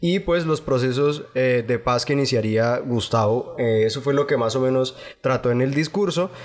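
The speaker has an ordinary speaking voice, keeping a moderate pace with ordinary pitch variation, very even loudness, and hardly any pauses. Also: man, medium pitch for a man. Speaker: podcast host. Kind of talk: casual chat. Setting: studio.

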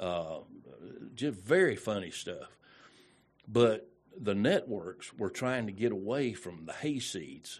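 A man with a Southern US accent, fairly low in pitch, at a very slow pace with long, frequent pauses and lively intonation. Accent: Southern US (Georgia). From Georgia, US South. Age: 60s. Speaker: radio personality. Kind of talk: casual interview chat. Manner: halting, many fillers.

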